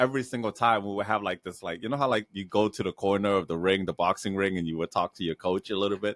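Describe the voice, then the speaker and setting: A man is recorded with a dry, close sound, no echo, and a quiet background. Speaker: comedy podcast host. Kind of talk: casual chat. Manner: loud; animated.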